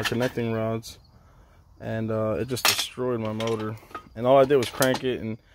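Heard through loud background noise, a man speaks at a moderate pace in a dry sound with no echo. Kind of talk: casual show-and-tell commentary. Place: open country. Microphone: phone near.

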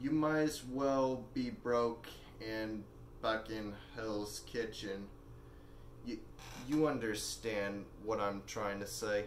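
A man speaks at a very slow pace with long, frequent pauses and ordinary pitch variation. There is audible room echo and light background noise. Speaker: actor performing a monologue. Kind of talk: dramatic monologue in character as a rich older man. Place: home room. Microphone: camera far.

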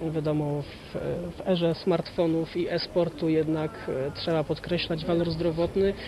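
A man with a high voice talks at a moderate pace through noticeable background noise. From Poland, Jelenia Góra. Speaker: freestyle kayaker. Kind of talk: interview.

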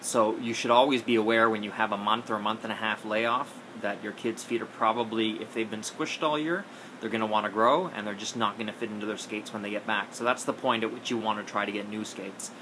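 Noticeable background noise sits under a man's voice. He speaks at a very fast pace with fairly even intonation. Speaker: skating coach. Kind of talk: casual advice vlog. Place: home room. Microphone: phone near.

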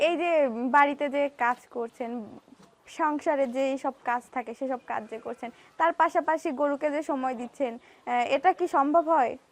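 A woman's high pitch shows ordinary variation, with a dry, close sound and no echo. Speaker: agricultural reporter. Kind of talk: presenter piece to camera; field interview.

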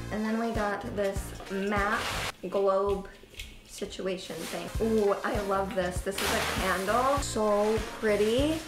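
A woman talks at a very slow pace while clear music sounds behind her. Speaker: vlogger. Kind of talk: casual vlog chat. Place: home room. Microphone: camera far.

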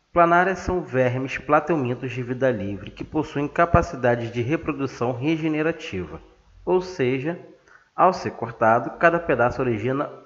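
A man with a Brazilian accent speaks at a fairly slow pace in a fairly high pitch. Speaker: science teacher. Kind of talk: lecture.

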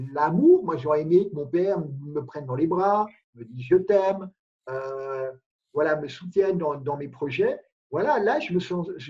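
Against a quiet background, a man with a high pitch and a dark, mellow tone speaks at a fairly slow pace, with big swings in loudness. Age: 50s. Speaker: life coach guest. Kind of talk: interview. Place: home room. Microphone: video call.

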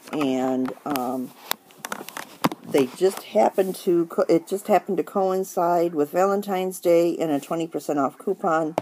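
Speech comes at a moderate pace. There is noticeable background noise. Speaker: craft video maker. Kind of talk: tutorial. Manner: casual, with filler ums.

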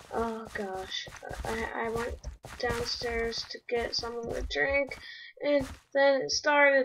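Against noticeable background noise, a woman with a high pitch speaks at a very slow pace with ordinary pitch variation. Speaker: gaming youtuber. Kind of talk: gameplay commentary. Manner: animated.

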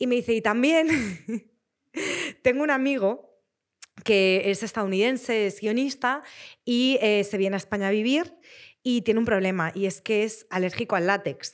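A woman speaks at a moderate pace with long, frequent pauses. Her pitch is fairly high. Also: ordinary pitch variation, quiet background. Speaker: actress and screenwriter. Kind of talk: casual chat. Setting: stage with audience. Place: studio. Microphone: studio mic.

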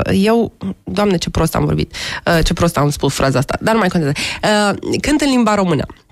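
Against a quiet background with dry sound and no echo, a woman with a fairly low pitch speaks at a moderate pace, leaving long, frequent pauses. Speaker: folk-jazz singer-songwriter. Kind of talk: interview answer. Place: studio. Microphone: studio mic.

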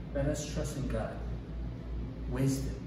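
A man is heard with audible room echo and noticeable background noise. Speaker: children's church teacher. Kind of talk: children's sermon / object lesson. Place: classroom. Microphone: camera far.

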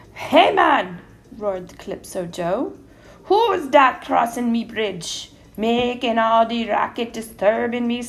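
The pitch varies about as much as usual. Someone is doing plain reading aloud.

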